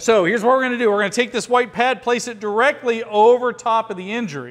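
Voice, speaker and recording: Loud and fairly quick, a man talks at a high pitch amid noticeable background noise. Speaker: firearms and emergency response instructor. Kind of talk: hands-on training class. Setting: classroom with students. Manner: fast.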